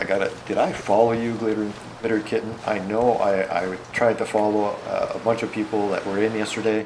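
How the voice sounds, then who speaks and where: A man's flat, monotone voice with audible room echo and noticeable background noise. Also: fairly low pitch for a man, fairly quick pace. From Canada. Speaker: video game streamer. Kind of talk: casual gameplay livestream chat. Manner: halting.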